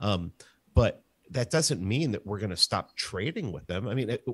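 With an American accent, a man speaks at a fairly low pitch and a moderate pace in an unremarkable speaking voice on a very clean recording with a silent background. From New York, the Bronx. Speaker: podcast host and libertarian institute staffer. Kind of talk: casual debate.

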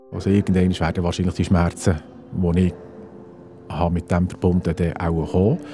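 Music plays in the background as a man speaks at a very deep, low pitch with monotone, flat intonation. His pace is moderate, his loudness very even, and his pauses long and frequent. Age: 50s. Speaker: geomatics technician, heart attack survivor. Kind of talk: personal testimony. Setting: outdoors.

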